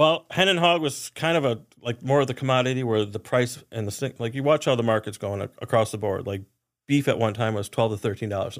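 A man with a normal speaking voice and medium pitch, ordinary pitch variation and a fairly quick pace in a very clean recording with a silent background. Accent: American. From Wisconsin (Oshkosh). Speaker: chef. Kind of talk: casual chat.

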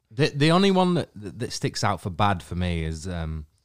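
Lively intonation at a moderate pace in a very clean recording with a silent background. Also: man. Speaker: band member. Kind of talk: casual interview chat.

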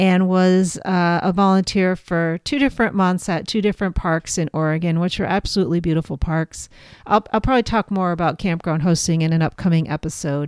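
A woman with an ordinary speaking voice, fairly low in pitch with ordinary pitch variation, going at a fairly quick pace with hardly any pauses, on a very clean recording with a silent background and a dry, close sound with no echo. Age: 50s. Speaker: podcast host. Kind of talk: casual monologue.

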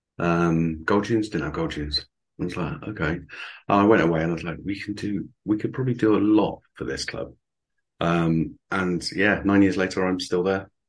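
A moderate pace with ordinary pitch variation. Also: man, very deep, low pitch for a man. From Somerset, England. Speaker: stadium announcer. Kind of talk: casual interview chat.

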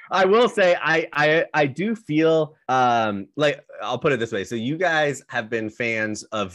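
In a normal speaking voice, a man talks at a fairly slow pace with lively intonation. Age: young. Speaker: sports podcast co-host. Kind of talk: casual chat.

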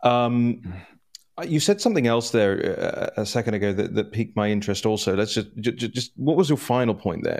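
A man with a London accent at medium pitch, with lively intonation and a fairly quick pace, in a very clean recording with a silent background. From London, England. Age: 30s. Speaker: political news editor. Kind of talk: interview. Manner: halting with many repetitions.

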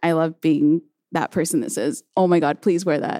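A woman with an American accent, fairly low in pitch, dark and mellow in tone, at a moderate pace, dry and close with no echo, on a very clean recording with a silent background. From Southern California, Chino/Pomona. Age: 20s. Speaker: tailor and alterations business owner. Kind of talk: live panel conversation. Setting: stage with audience.

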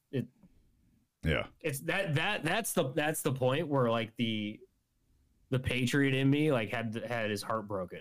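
With long, frequent pauses and lively intonation, a man talks at a fairly slow pace and a medium pitch. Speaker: guest, friend of host. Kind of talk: casual chat.

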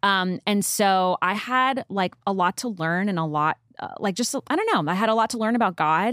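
A woman with an American accent speaks at a moderate pace in a plain, everyday voice, her medium pitch showing ordinary variation. The recording is very clean with a silent background and a dry, close sound with no echo. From New York. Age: 30s. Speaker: podcast guest. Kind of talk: casual chat.

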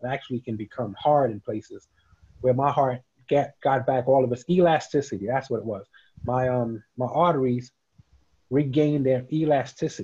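The speaker talks at a fairly quick pace with a New York accent, in a somewhat breathy voice with a dark, mellow tone. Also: man. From New York, Queens. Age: 50s. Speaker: CBD business founder and dividend investor. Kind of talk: casual interview.

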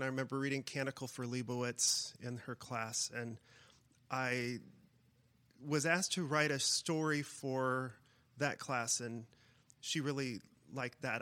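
A man of medium pitch speaks at a fairly slow pace with fairly even intonation, on a very clean recording with a silent background. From Iowa, US Midwest. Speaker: writer and college teacher. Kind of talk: interview. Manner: halting, many repeats and fillers.

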